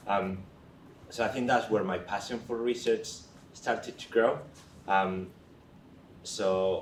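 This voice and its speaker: Audible room echo surrounds a man speaking with a Spanish accent. His pitch is fairly low and his pace fairly slow. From Spain. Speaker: research nurse. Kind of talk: career talk to young people. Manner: hesitant, with many fillers.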